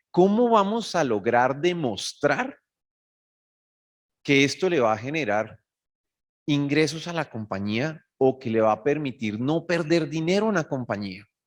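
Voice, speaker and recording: With a Bogotá Colombian accent, a man speaks at a moderate pace in an animated tone, his fairly high pitch swinging very widely. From Colombia, Bogotá. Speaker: cybersecurity executive. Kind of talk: conference talk.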